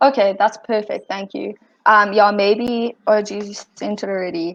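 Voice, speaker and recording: Monotone, flat intonation marks this woman's speech, which has a slight British accent and big swings in loudness. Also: medium pitch for a woman, moderate pace. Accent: slight British-sounding. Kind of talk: casual meeting chat. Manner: casual, filler-heavy.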